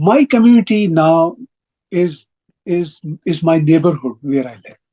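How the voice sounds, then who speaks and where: Using a Pakistani Punjabi accent, a man speaks at a high pitch and fairly slow pace with a dark, mellow tone, lively intonation and big swings in loudness. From Pakistan, Punjab (Lahore). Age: 60s. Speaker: broadcaster and writer. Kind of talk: interview. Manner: halting, with repetitions.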